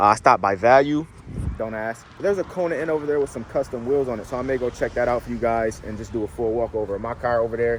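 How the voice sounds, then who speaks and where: A man talks at a very fast pace with noticeable background noise. His pitch is medium, with ordinary variation. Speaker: car vlogger. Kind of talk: casual vlog. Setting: in a car; car dealership. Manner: casual, filler-heavy; whispering.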